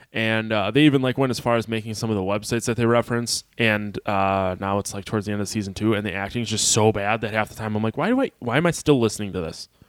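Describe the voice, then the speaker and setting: A man speaks at a very fast pace with hardly any pauses. His pitch is fairly low and his intonation fairly even. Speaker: podcast host. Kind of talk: casual chat.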